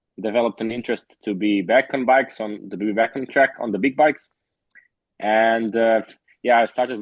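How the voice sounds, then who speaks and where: Fairly quick delivery from a man at a medium pitch. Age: 20s. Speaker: motorcycle racer. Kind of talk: interview. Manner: halting.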